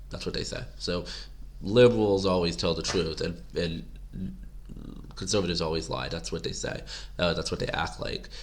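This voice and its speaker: A man's very deep, low voice with vocal fry and very wide pitch swings, at a moderate pace with long, frequent pauses, in audible room echo. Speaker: political commentary vlogger. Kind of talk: casual monologue to camera. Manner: rambling, halting.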